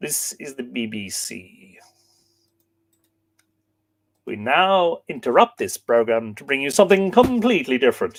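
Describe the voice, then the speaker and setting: In a put-on character voice, a man speaks at a fairly high pitch with very wide pitch swings, big swings in loudness, and long, frequent pauses. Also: moderate pace. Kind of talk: formal, old-fashioned broadcast.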